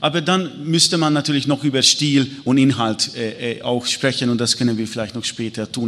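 Over noticeable background noise, a man with a Hungarian accent speaks at a moderate pace. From Hungary. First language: Hungarian (speaking German). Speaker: historian. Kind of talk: panel discussion. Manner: halting.

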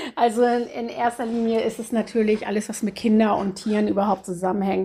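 Somewhat breathy and dark, mellow in tone, a woman with a medium pitch talks at a moderate pace with fairly even intonation. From northern Germany, Cuxhaven. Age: 50s. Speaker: animal shelter chairwoman. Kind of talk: interview. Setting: office at animal shelter.

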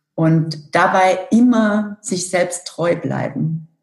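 A woman's medium-pitched, somewhat breathy voice with ordinary pitch variation. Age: 40s. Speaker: corporate communications director. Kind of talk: interview.

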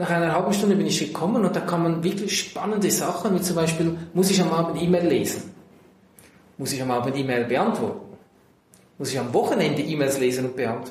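The speaker uses ordinary pitch variation at a fairly quick pace. There is audible room echo and noticeable background noise. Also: man, high pitch for a man. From Central Switzerland. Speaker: tech company manager. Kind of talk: interview. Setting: in person.

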